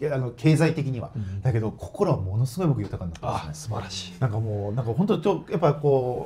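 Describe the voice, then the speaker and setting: A man's somewhat breathy, dark and mellow voice at a medium pitch, very fast with hardly any pauses and very wide pitch swings. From Ibaraki, Japan. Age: 40s. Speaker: football club president. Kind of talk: casual interview.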